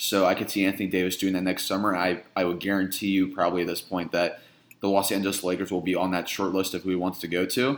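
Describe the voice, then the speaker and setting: Speaking at a very fast pace with flat, monotone intonation, a man with an American accent and a very deep, low pitch is heard in a very clean recording with a silent background. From US Midwest, Indiana. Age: 20s. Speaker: sports reporter and podcast host. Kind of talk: casual chat.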